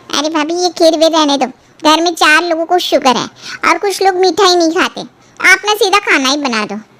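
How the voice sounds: Putting on a cartoonish character voice at an extremely high pitch, a woman talks at a fairly quick pace.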